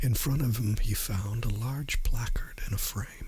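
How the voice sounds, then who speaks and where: Over noticeable background noise, the voice moves at a very slow pace with a gentle tone. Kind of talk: ASMR audiobook reading. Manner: soft, gentle.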